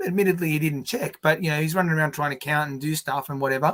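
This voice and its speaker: A man speaks at a very fast pace. His pitch is fairly high, and he has an Australian accent. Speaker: podcast co-host, election scrutineer. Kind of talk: casual chat on live stream. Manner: animated.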